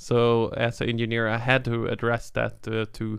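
Speaking in a Swedish accent, a man keeps a medium pitch and a monotone, flat intonation. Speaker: tech company founder and CEO. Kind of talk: interview. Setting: studio. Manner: halting.

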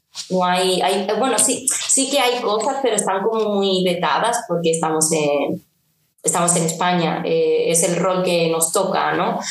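There is audible room echo as a woman speaks with very even loudness and ordinary pitch variation. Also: medium pitch for a woman, fairly slow pace. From Seville, Andalusia, Spain. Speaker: singer-songwriter. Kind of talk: casual interview.

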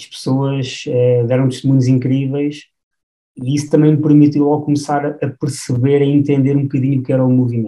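A man's dark, mellow tone, fairly quick pace and monotone, flat intonation. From Portugal, Batalha (Leiria district). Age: 30s. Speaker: film director. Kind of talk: podcast interview. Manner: halting, frequent repetitions.

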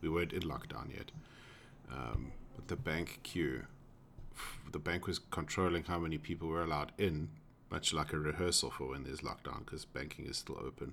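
A man with a very deep, low pitch and vocal fry talks at a fairly quick pace with ordinary pitch variation. His speech has long, frequent pauses. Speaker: podcast host, tech worker. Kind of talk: casual chat.

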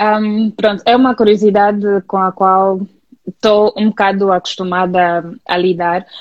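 A woman with an Angolan accent speaks at a fairly slow pace in a calm tone and medium pitch. Her intonation is monotone and flat, and her loudness stays very even. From Angola, Luanda. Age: 30s. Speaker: communication specialist and community manager. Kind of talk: interview. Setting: online live stream.

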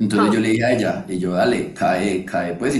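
A man's fairly low-pitched voice with audible room echo. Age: 20s. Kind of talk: casual chat.

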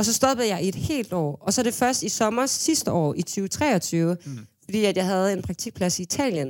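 At a moderate pace with hardly any pauses, a woman speaks at a medium pitch with very wide pitch swings, in a very clean recording against a silent background. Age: 20s. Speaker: music booker, manager and DJ. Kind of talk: casual chat. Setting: studio.

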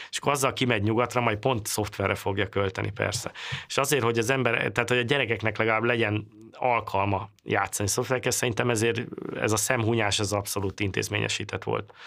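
This man's voice has a bright, sharp tone at a medium pitch. He talks very fast with fairly even intonation. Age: 40s. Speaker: computer programmer. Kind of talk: interview.

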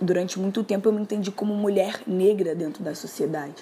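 A woman speaks at a fairly quick pace with a Carioca accent. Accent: carioca Brazilian Portuguese. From Rio de Janeiro. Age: 20s. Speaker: poet and musician. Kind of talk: personal testimony. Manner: casual, hesitant with fillers.

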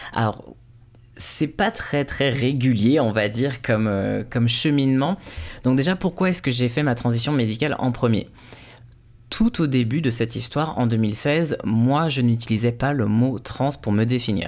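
At a fairly slow pace, a man speaks with a medium pitch, ordinary pitch variation and very even loudness. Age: 20s. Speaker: podcast host. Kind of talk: personal testimony. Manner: halting, with repetitions.

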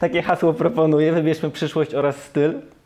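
With fairly even intonation and a fairly high pitch, a man talks as noticeable background noise runs beneath him. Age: 30s. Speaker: podcast host. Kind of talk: casual chat.

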